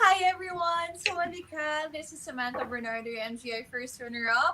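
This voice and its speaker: A woman's high, raised, projected voice with a Filipino accent, lively intonation and a fairly quick pace, over noticeable background noise. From Philippines, Palawan. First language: Filipino language. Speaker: beauty pageant contestant. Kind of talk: interview.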